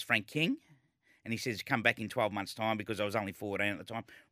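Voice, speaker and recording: A man with an Australian accent speaks at a medium pitch in a bright, sharp tone. The recording is very clean, with a silent background. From Melbourne, Australia. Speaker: former jockey and racing broadcaster. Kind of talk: interview.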